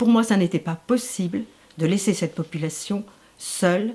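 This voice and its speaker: A woman speaks at medium pitch in a dark, mellow tone that is somewhat breathy. Her pitch variation is ordinary. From Paris region, France. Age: 60s. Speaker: retired social worker, local election candidate. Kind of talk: interview.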